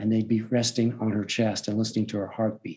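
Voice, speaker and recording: The man's voice has a dark, mellow tone. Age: 70s. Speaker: personal growth coach. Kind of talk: interview monologue.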